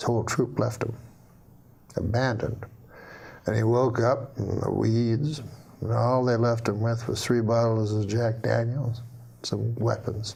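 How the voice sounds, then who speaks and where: Speaking at a fairly slow pace with long, frequent pauses, a man uses a medium pitch and a dark, mellow, somewhat breathy tone with monotone, flat intonation. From Canada. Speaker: stand-up comedian. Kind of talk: joke telling on a talk show. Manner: slow, almost stuttering deadpan.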